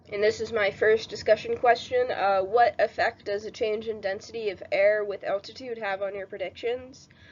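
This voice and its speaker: Over noticeable background noise, a woman talks at a moderate pace. Her fairly high voice stays monotone and flat. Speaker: student. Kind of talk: class lab presentation narration.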